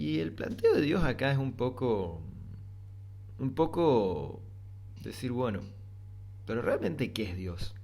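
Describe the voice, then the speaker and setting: A man with an Argentine accent talks at a very slow pace, pausing long and often. His voice is somewhat breathy, with lively intonation and audible room echo. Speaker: philosophy podcaster. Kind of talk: reflective monologue. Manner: halting.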